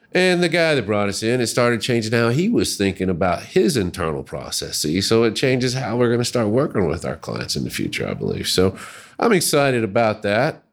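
A man with an American accent talks at a fairly quick pace, with hardly any pauses. His medium pitch moves in very wide swings. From US South, Little Rock, Arkansas. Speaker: user experience researcher. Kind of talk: casual chat. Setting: studio.

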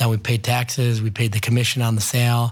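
On a very clean recording with a silent background, a man talks at a fairly quick pace. His medium-pitched voice is somewhat breathy and flat, in a monotone. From Ohio, Cleveland area. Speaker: restaurant entrepreneur. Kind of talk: interview.

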